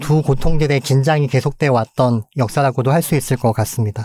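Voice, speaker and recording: On a very clean recording with a silent background, a man talks at a moderate pace with a fairly high pitch and ordinary pitch variation. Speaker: physician and medical anthropologist. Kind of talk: interview.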